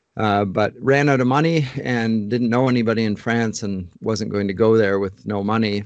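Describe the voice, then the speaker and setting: A man with a Canadian accent has an ordinary speaking voice at a medium pitch. He talks at a moderate pace with fairly even intonation and hardly any pauses against a quiet background. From Ontario, Canada (London). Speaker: English literature professor. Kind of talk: interview conversation.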